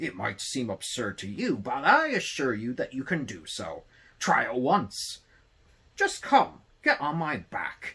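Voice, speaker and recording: Someone uses a put-on character voice. The pace is fairly slow. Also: man, medium pitch for a man. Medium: read story. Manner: courteous, formal.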